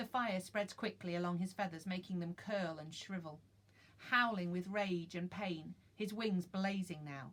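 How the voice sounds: Simply a natural reading voice.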